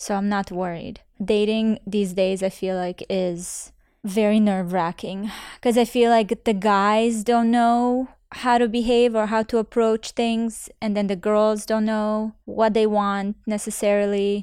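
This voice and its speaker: A woman's fairly high, monotone voice at a fairly slow pace, on a very clean recording with a silent background. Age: 30s. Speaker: podcast host and influencer. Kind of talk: casual chat.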